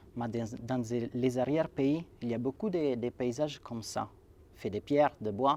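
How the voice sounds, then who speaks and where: Man with an Italian accent, medium pitch and ordinary pitch variation. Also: fairly slow pace. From Italy (Sanremo, Liguria). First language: Italian (speaking French). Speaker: writer and poet. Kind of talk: interview. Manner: halting, many repetitions and fillers.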